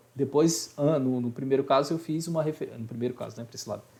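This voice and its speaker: A man talks at a very fast pace with ordinary pitch variation. His tone is dark, mellow and somewhat breathy. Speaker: high school Portuguese teacher. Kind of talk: online class lecture.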